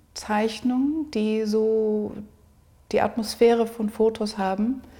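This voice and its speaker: A woman speaks in a dark, mellow tone that is somewhat breathy, her intonation monotone and flat. The recording is very clean with a silent background. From South Africa. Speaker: artist. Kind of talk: interview. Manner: halting.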